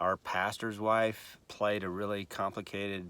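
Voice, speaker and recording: A man's bright, sharp tone. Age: 60s. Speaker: piano teacher. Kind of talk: tutorial. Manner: casual, with filler words.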